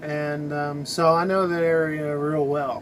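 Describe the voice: A man's fairly high voice at a fairly slow pace, with little pitch movement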